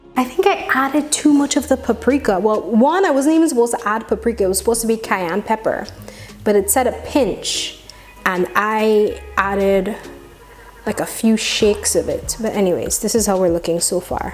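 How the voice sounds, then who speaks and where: A woman's fairly high voice at a moderate pace, with lively intonation and music in the background. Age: young. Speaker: cooking vlogger. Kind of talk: casual cooking tutorial.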